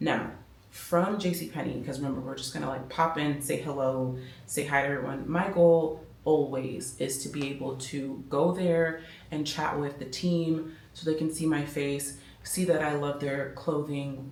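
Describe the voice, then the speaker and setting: Over noticeable background noise and audible room echo, a woman with an American accent speaks in a very deep, low pitch with monotone, flat intonation. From Miami, Florida. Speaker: fashion vlogger. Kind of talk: casual vlog chat. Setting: at home at night. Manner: speaking quietly.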